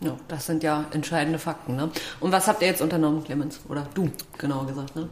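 A woman speaks at a very fast pace with a very deep, low pitch. Background noise is noticeable. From Altmark, Saxony-Anhalt. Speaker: podcast host. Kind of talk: interview. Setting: staff break room at the school.

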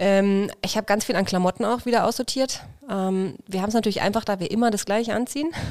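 Her speech races at a very fast pace, with this woman's pitch in the medium range. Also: ordinary pitch variation. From Franconia, Bavaria (near Nuremberg). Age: 30s. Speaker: journeyman butcher on traditional travels. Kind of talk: casual interview.

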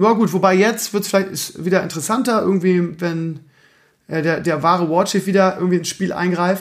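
The man's voice is high in pitch, and his intonation stays fairly even. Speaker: podcast host and streamer. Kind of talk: casual solo talk. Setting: home recording at night.

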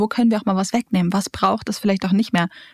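A woman speaks at a medium pitch with a monotone, flat intonation. The sound is dry and close, with no echo. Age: 20s. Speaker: leadership trainer and coach. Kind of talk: interview. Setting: studio.

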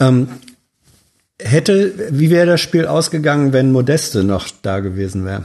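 With very wide pitch swings and a dark, mellow tone, this man talks at a fairly high pitch, leaving long, frequent pauses. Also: moderate pace. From northern Germany, Hannover. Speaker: journalist, podcast guest. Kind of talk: casual chat. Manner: halting, many fillers.

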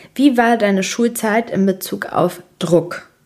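In a very clean recording with a silent background, a woman with a medium pitch speaks in an animated tone with ordinary pitch variation. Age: 20s. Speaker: podcast host. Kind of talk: casual monologue.

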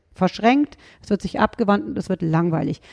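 A woman's dark, mellow tone with a Rhineland accent, dry and close with no echo. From Rhineland, Germany. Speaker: dog trainer and animal psychologist. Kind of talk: podcast interview.

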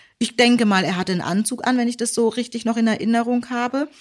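A woman with a high pitch is heard in a very clean recording with a silent background. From Germany. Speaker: podcast co-host, teacher. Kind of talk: casual chat, personal story.

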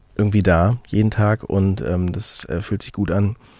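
With a dark, mellow tone, a man speaks at a moderate pace in a fairly low pitch and with fairly even intonation. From Mecklenburg-Western Pomerania, Germany. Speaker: musician. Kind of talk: interview. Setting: video call. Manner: halting, many fillers.

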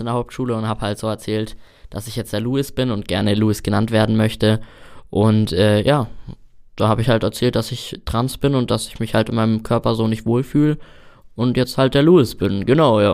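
With fairly even intonation, a man speaks at medium pitch in a normal speaking voice. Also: fairly quick pace, very clean recording, silent background. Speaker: trainee chimney sweep. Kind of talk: interview.

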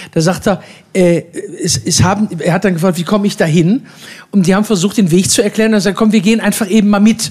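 A man speaks in a high voice at a moderate pace. His pitch varies in an ordinary way, and there is noticeable background noise. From Ruhr area, Duisburg. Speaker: cabaret artist. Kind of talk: live stage interview.

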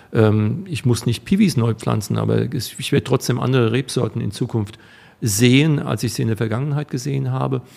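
A man's medium-pitched voice carries a dark, mellow tone and lively intonation. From Rhineland-Palatinate, Rheinhessen (Alzey). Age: 50s. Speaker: wine equipment business owner. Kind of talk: interview. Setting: studio.

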